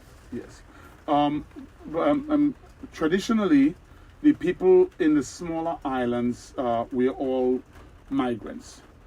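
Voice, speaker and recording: A man speaks at a fairly slow pace with long, frequent pauses. There is noticeable background noise. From Caribbean, Carriacou, Grenada. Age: 60s. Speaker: market owner, entrepreneur. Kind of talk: interview. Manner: hesitant, many fillers and repetitions.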